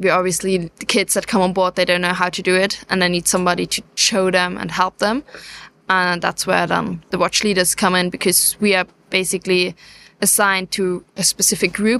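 In a very clean recording with a silent background, a woman with a German accent speaks fairly quickly at a medium pitch, her bright, sharp tone monotone and flat, the sound dry and close with no echo. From southeast Germany. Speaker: sail training watch leader. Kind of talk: interview on location. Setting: on board a moored ship.

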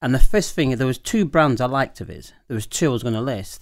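A man with a normal speaking voice at medium pitch, fairly quick in pace, in a very clean recording with a silent background. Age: 50s. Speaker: wine shop owner and host. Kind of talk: casual banter chat.

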